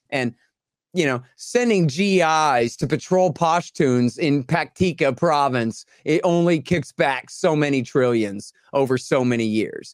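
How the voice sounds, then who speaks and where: A man with an American accent and an unremarkable speaking voice talks at a fairly slow pace in a fairly high pitch, with lively intonation and very even loudness. The recording is very clean, with a silent background. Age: 40s. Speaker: anti-war author and podcast host. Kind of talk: interview.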